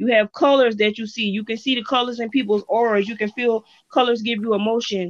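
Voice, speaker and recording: A plain, everyday voice at a fairly quick pace, with fairly even intonation. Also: woman, fairly high pitch for a woman. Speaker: poet. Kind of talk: poetry reading.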